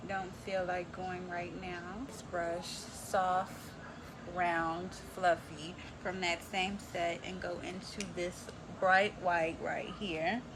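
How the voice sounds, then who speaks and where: Speaking at a very slow pace in a flat monotone, a woman with an American accent and a fairly low pitch is heard over noticeable background noise with audible room echo. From Texas. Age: 20s. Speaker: beauty vlogger. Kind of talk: makeup tutorial. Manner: casual, chatty.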